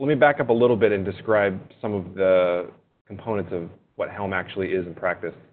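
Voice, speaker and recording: With an unremarkable speaking voice, a man talks at a fairly quick pace with a fairly low pitch and ordinary pitch variation. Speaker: software engineer. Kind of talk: webinar presentation. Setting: webinar.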